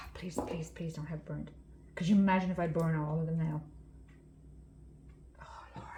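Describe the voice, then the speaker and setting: A woman at a moderate pace with long, frequent pauses, big swings in loudness and audible room echo. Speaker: resin artist. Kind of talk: tutorial. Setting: craft room.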